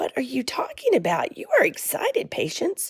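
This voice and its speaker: Whispering in a raspy, put-on character voice that sounds female, she talks at a moderate pace. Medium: read story. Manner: quiet.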